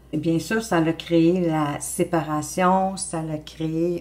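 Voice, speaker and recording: With a Quebec accent, a woman speaks at a fairly low pitch and with fairly even intonation. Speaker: tarot card reader. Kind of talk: tarot reading monologue. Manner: hesitant, many fillers.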